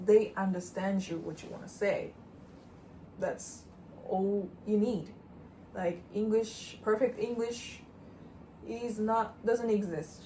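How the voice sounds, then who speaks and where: A woman with a Japanese accent speaks very slowly at a fairly high pitch, her intonation fairly even, with long, frequent pauses and audible room echo. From Japan, Osaka. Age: 20s. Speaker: interior sales worker and channel co-host. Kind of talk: casual interview chat.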